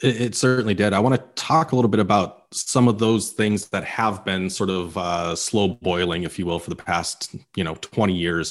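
Over a quiet background, a man talks at a moderate pace with hardly any pauses. His pitch is fairly low with ordinary variation, and it is an unremarkable speaking voice. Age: 30s. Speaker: sales podcast host. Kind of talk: casual business discussion.

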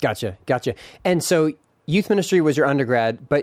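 Speaking at a fairly quick pace, a man with an unremarkable speaking voice has a fairly high pitch and lively intonation. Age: 40s. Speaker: podcast host. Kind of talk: casual chat.

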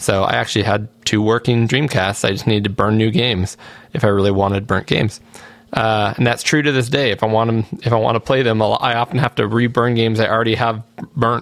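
A man talks at a very fast pace and a medium pitch. His loudness stays very even, his intonation fairly even. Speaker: podcast host. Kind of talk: casual chat.

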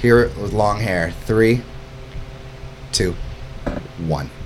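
The delivery is animated. Noticeable background noise is present. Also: man. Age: 30s. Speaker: summer camp owner and podcast host. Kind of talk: casual chat. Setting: studio.

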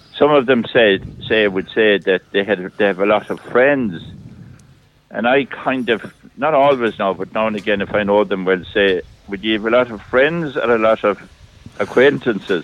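In an Irish accent, a man speaks at a fairly low pitch. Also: ordinary pitch variation, moderate pace. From Ireland, County Clare. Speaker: priest. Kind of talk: casual chat. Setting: phone call.

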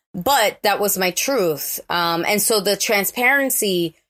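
Someone with a New York accent speaks at a fairly slow pace on a very clean recording with a silent background. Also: woman. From New York, the Bronx. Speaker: actor and author. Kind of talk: interview.

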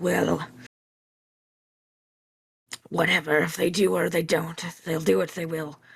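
A put-on character voice growls, gruff and raspy, at middle pitch. The pace is moderate, broken by long, frequent pauses. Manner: snarling, gruff.

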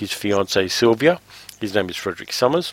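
A man with an Australian accent speaks at a moderate pace in a fairly low voice. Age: 50s. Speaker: podcast host, film reviewer. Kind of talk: casual chat.

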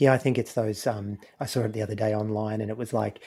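The man's tone is dark and mellow, in an Australian accent. He speaks at a fairly quick pace. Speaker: podcaster, former Pentecostal pastor-in-training. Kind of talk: casual chat.

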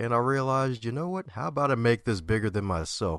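Speaking in an ordinary speaking voice with an American accent, a man moves at a fairly quick pace with lively intonation, in a dry, close sound with no echo over a quiet background. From Baltimore, Maryland, US. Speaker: motivational speaker and author. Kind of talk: interview.

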